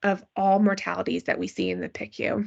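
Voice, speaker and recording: A woman speaks at medium pitch and a fairly quick pace, with vocal fry. The background is quiet. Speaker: physician researcher in pediatric critical care. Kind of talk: lecture. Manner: fast.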